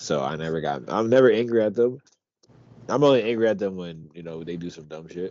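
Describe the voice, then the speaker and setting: A man mumbles in an American accent at a fairly quick pace. His pitch varies in an ordinary way. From Pennsylvania, Harrisburg area. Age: 20s. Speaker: podcast co-host. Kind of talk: casual chat. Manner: mumbling.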